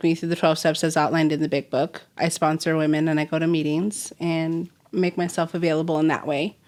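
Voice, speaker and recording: A woman with an American accent speaks on a very clean recording with a silent background. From Southern California, Simi Valley. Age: 30s. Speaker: recovering alcoholic guest. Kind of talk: personal testimony interview.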